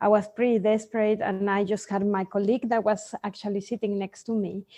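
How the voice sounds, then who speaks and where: A woman's dark, mellow tone at a medium pitch, with a Mexican accent and monotone, flat intonation, against a quiet background. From Mexico. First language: Spanish. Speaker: sleep consultant for children. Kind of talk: interview. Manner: hesitant, with fillers.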